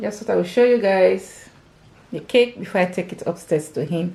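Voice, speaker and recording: A woman with vocal fry speaks at a medium pitch and a moderate pace in a dark, mellow tone. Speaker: lifestyle vlogger. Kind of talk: casual vlog.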